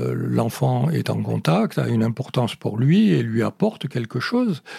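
Somewhat breathy, with a dark, mellow tone, a man speaks. His pace is fairly slow. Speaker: sociologist. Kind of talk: interview explanation.

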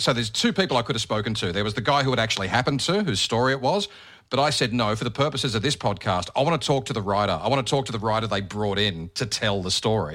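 With an Australian accent, a man at medium pitch talks at a very fast pace with lively intonation and hardly any pauses. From Australia, Bathurst NSW. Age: 40s. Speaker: radio host and podcaster. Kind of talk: casual interview chat.

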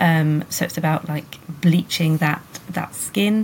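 A woman with a British accent and ordinary pitch variation. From UK countryside. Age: 30s. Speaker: sex educator. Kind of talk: interview.

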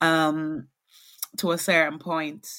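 Recorded very cleanly against a silent background, a woman speaks in a fairly low pitch with a bright, sharp tone. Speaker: guest talking about money. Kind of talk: casual interview chat. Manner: reflective, halting.

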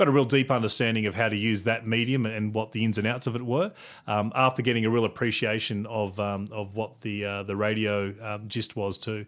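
In an Australian accent, a man with a fairly low voice speaks in a flat monotone with hardly any pauses. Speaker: communications director. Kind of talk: interview. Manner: halting, filler words.

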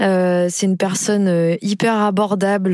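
Noticeable noise runs in the background. Over it, a woman talks. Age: 30s. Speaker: job seeker in career transition. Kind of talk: testimony.

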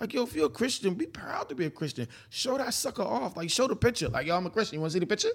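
A man in a New York accent, high in pitch. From Brooklyn, New York. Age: 40s. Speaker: preacher. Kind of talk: casual chat.

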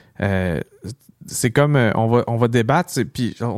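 This man talks at a fairly slow pace. He has a Quebec accent. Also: dry, close sound with no echo. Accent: Québécois French. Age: 30s. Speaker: podcast entrepreneur and political candidate. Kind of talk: casual chat.

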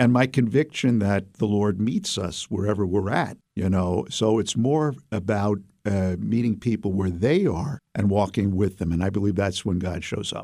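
With an American accent, this voice has a dark, mellow tone, ordinary pitch variation and a moderate pace with hardly any pauses. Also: man, fairly low pitch for a man. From US Northeast, Brooklyn, New York City. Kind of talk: interview. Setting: studio.

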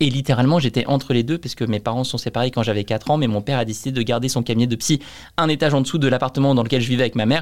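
Speaking at a very fast pace, a man keeps his medium pitch and fairly even intonation. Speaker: entrepreneur. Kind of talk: casual interview.

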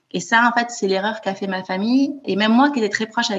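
Very fast delivery with ordinary pitch variation. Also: woman. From France, Toulouse. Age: 30s. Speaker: author and bereaved sister. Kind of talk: interview testimony. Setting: remote call.

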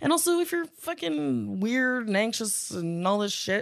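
Very wide pitch swings from a woman at a medium pitch, fairly slow in pace, over a quiet background. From Prince Edward Island, Canada. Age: 30s. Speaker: stand-up comedian. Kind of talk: casual chat.

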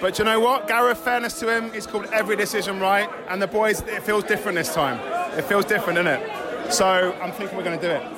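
Amid crowd noise and audible room echo, a man speaks at a very fast pace in a raised, projected voice with a high pitch and ordinary pitch variation. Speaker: football fan. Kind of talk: casual chat. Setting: pub before match. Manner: animated.

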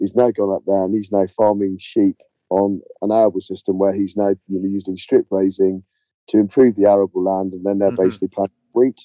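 A man's fairly low, monotone voice with flat intonation at a fairly quick pace. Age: 40s. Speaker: farmer. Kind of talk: interview. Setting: phone call from a caravan in a field. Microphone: mobile phone, poor audio, dropouts.

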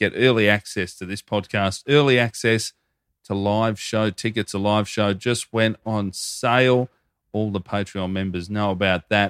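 A man with an Australian accent speaks at a fairly low pitch with fairly even intonation. The recording is very clean with a silent background and a dry, close sound with no echo. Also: moderate pace. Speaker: podcast co-host. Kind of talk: read-out ad; casual chat.

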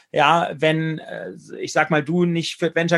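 A man talks at a moderate pace in a normal speaking voice. His pitch is fairly high. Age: 40s. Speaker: business leader and author. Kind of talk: interview.

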